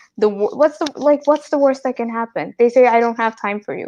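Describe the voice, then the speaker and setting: Against a quiet background, a woman with a Telugu accent speaks at a high pitch. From UAE (Indian family). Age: 20s. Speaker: entrepreneur. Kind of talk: interview.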